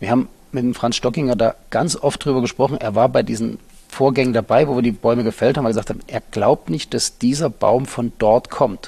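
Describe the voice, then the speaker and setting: A man speaks at a fairly quick pace with a dark, mellow tone. His pitch is medium, with ordinary variation. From eastern Germany, Halle an der Saale. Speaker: winery director. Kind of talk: interview. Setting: dark room at the winery.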